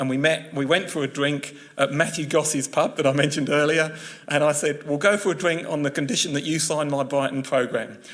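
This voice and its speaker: With a southern English accent, a man speaks at a fairly high pitch with fairly even intonation. Noticeable background noise runs beneath him. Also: fairly quick pace. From England, West Sussex. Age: 50s. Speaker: journalist. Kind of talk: public talk. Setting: talk with live audience.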